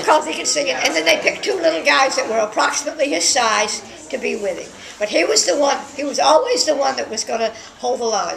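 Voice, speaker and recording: Against light background noise, a woman talks very fast at a high pitch with very wide pitch swings. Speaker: interviewee's companion. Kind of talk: interview answer. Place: home room.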